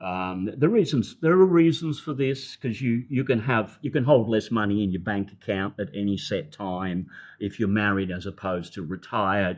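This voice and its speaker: The man's intonation is lively. He talks with an Australian accent. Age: 70s. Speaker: retired health practitioner, expat. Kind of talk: interview conversation.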